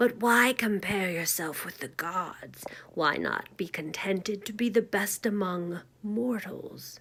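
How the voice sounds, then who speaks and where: A woman's put-on character voice at medium pitch, delivered at a fairly slow pace. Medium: read story. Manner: commanding, reproving.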